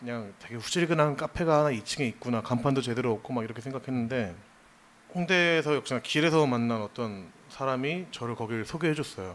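Using a normal speaking voice, a man speaks at a fairly quick pace and medium pitch with ordinary pitch variation. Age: 30s. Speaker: designer and music fan. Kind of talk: casual chat. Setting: live stage with audience.

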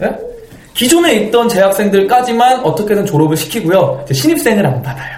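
Pitch swings very widely at a fairly quick pace, with audible room echo and noticeable background noise. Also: man, high pitch for a man. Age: 30s. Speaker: stage actor. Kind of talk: interview.

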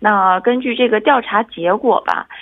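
This is an unremarkable speaking voice with lively intonation. It moves at a fairly slow pace. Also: woman. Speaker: reporter. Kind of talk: radio report. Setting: phone call.

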